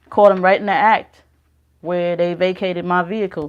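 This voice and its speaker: A woman's medium-pitched voice with fairly even intonation, over a quiet background. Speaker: spiritual channel host. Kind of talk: casual spiritual monologue. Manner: laid back, relaxed.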